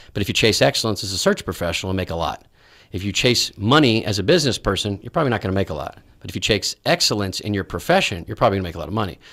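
Against a quiet background, a man with an American accent talks at a very fast pace and a fairly low pitch, with ordinary pitch variation. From Texas, Dallas. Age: 40s. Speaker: executive search company CEO; interview guest. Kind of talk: interview. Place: studio. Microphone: studio mic.

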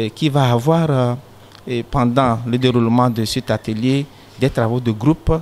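There is light background noise. A man speaks at a fairly slow pace. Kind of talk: interview answer. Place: garden. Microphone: handheld.

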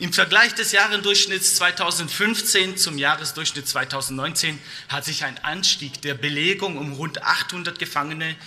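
With a fairly high pitch and ordinary pitch variation, a man speaks at a moderate pace. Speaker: politician. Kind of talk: parliamentary speech. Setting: parliament chamber. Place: hall. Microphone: podium.

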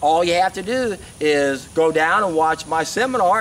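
A man with high pitch and a fairly bright tone speaks at a moderate pace with ordinary pitch variation.

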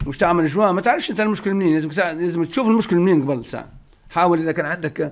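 Speaking at a very fast pace, a man with a high pitch and ordinary pitch variation comes through on a very clean recording with a silent background. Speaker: car mechanic answering viewer questions. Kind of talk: Q&A reading and answering viewer comments.

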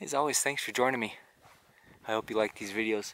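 Moderate pace and ordinary pitch variation from a man, in a dry sound with no echo. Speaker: painter vlogger. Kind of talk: casual vlog chat. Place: open country. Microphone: phone near.

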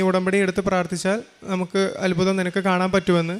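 A man speaks at a high pitch. His intonation is monotone and flat. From Kerala, Thrissur. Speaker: engineering graduate giving testimony. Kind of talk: testimony.

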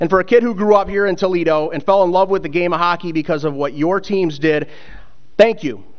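Against a quiet background, a man with a high voice talks at a very fast pace with ordinary pitch variation. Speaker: ceremony emcee, hockey broadcaster. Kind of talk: ceremony hosting. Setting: stage with audience. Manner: casual, self-deprecating humor. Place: hall. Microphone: podium.

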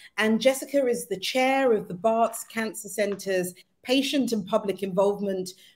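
The pace is moderate. Pitch varies in an ordinary way. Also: woman. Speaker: co-host. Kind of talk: guest introduction. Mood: warm, excited. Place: home room.

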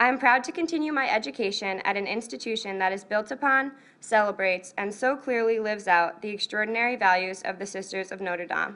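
With a bright, sharp tone and lively intonation, a woman in an American accent talks at a very fast pace with hardly any pauses. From US Northeast. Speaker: college student. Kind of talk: prepared speech. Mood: earnest, proud. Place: hall. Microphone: podium.

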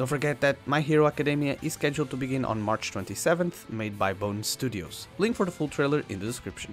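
A man's medium-pitched voice at a very fast pace, lively in intonation, with hardly any pauses and music in the background. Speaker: anime news youtuber. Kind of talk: anime news narration.

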